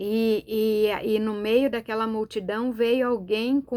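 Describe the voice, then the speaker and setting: A woman at a very slow pace and fairly high pitch, on a very clean recording with a silent background. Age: 60s. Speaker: preacher. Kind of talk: sermon. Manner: animated.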